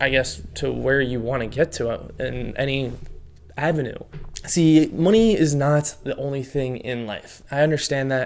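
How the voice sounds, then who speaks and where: Using a fairly high pitch with ordinary pitch variation, a man speaks at a moderate pace. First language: not English. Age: 20s. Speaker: self-improvement youtuber. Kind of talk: advice monologue to camera. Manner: casual, conversational with fillers.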